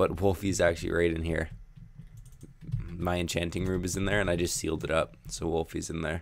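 A man with a very deep, low pitch, vocal fry and ordinary pitch variation. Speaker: gaming youtuber. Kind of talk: let's play commentary. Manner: halting.

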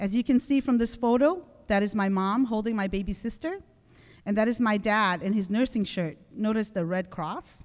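Over a quiet background, a woman with a fairly high pitch speaks at a moderate pace with ordinary pitch variation. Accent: Southeast Asian. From Laos, raised in the US. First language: Hmong. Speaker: conference speaker. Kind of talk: prepared speech. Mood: reflective, earnest. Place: hall. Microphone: podium.

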